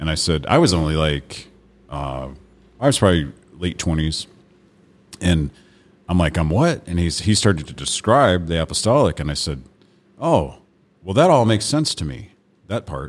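With long, frequent pauses, a man speaks at a moderate pace in a very deep, low pitch, his vocal fry audible and his intonation lively. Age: 40s. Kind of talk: casual chat. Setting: studio.

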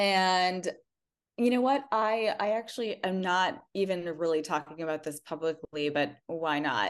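Over a quiet background, a woman with a Midwestern accent speaks at a fairly slow pace, her medium pitch carried by lively intonation. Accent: general American, Midwestern. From US Midwest. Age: 40s. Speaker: school founder and life coach. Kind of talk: interview conversation.

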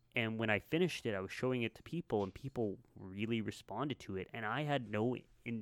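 A man with a Canadian accent talks at a very fast pace. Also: dry, close sound with no echo. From Canada, Winnipeg area. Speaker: filmmaker. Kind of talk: casual chat.

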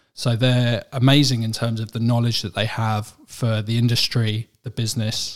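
A man with an English accent, medium pitch, moderate pace and monotone, flat intonation. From England. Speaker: managing director of a medical aids company. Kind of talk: interview. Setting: studio.

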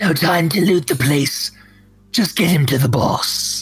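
The voice is a put-on character, raspy and in a middle pitch. It unfolds at a fairly slow pace. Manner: urgent.

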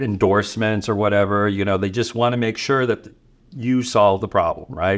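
Here is a man with an unremarkable speaking voice and a fairly low pitch. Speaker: receptionist. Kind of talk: casual interview chat. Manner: casual, filler-heavy.

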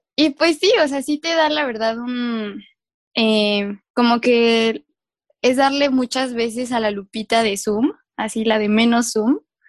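A woman's fairly high voice at a very slow pace, ordinary pitch variation, dry and close with no echo. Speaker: podcast co-host, earth sciences graduate. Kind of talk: casual chat. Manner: animated, frequent laughter.

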